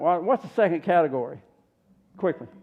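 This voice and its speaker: This man has a Southern US accent and a high voice. He talks at a fairly quick pace. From US South. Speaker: health seminar presenter. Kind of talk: health seminar.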